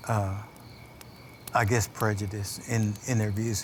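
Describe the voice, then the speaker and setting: Noticeable background noise is present. A man with an American accent talks at a moderate pace. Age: old. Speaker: Chickasaw elder. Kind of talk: oral history storytelling.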